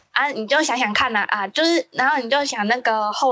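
A woman with a plain, everyday voice speaks fairly quickly at a fairly high pitch with ordinary pitch variation. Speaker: podcast co-host. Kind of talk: casual chat.

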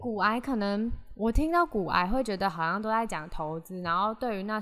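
Lively intonation marks a woman's speech. She moves along at a moderate pace. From Taiwan, Hsinchu. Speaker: podcast host. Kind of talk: solo podcast monologue. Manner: chatty, code-switching with English.

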